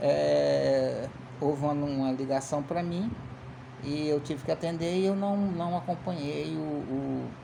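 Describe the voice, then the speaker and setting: Noticeable background noise and audible room echo accompany a man speaking at a fairly slow pace. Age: 50s. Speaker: political commentator. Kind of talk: casual political commentary monologue. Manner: halting, many repeated fillers.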